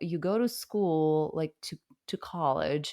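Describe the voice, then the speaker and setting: A woman speaks at a very slow pace with a fairly low pitch. The sound is dry and close, with no echo. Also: very clean recording, silent background. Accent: Russian. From Russia. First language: Russian. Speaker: hypnotherapist and coach. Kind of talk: interview answer.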